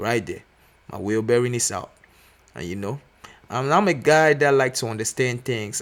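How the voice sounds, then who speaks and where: Speaking at a moderate pace with a non-native accent, a man uses a medium pitch and lively intonation. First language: not English. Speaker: mechanic apprentice. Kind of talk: tutorial. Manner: casual, filler-heavy.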